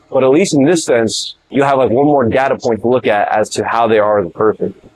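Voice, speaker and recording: A fairly quick delivery over music in the background, dry and close with no echo. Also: man. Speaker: fitness vlogger. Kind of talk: casual monologue. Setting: gym. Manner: fast; halting.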